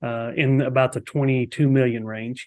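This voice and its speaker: On a very clean recording with a silent background, a man talks with a Texas accent. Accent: Texas drawl. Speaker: real estate agent. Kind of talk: casual chat.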